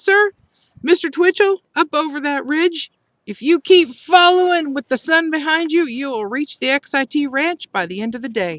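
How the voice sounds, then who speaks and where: A woman puts on a character voice, pitched high and delivered at a moderate pace. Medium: read story. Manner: polite, formal.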